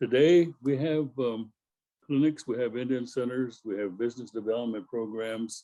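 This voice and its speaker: Ordinary pitch variation and a moderate pace carry a dark, mellow tone. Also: man. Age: 80s+. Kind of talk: award acceptance speech, personal history. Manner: halting, many fillers.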